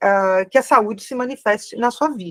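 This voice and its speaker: The sound is dry and close with no echo as a woman speaks fairly slowly with ordinary pitch variation. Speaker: spiritual therapy teacher. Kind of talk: online class Q&A. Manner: slow, deliberate.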